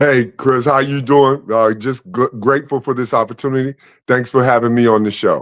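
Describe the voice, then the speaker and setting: An ordinary speaking voice from a man with an American accent, medium in pitch, fairly even in intonation and very even in loudness. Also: moderate pace. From Chicago, Englewood. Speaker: former basketball player and playwright. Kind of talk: interview.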